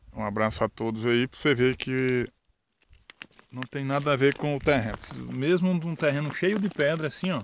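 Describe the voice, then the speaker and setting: A man at a moderate pace, with light background noise and a dry sound with no echo. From Brazil, Pernambuco sertão (Verdejante); Pernambuco, Brazil. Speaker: rural video blogger; rural vlogger. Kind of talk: casual outdoor vlog narration. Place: farm. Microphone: phone near.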